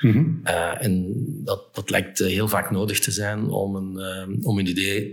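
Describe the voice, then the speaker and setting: This man has a fairly low pitch and fairly even intonation. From Flemish Brabant, Belgium. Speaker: entrepreneur, event organizer. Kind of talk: interview. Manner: halting.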